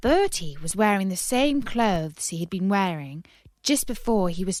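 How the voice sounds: Lively intonation in a natural reading voice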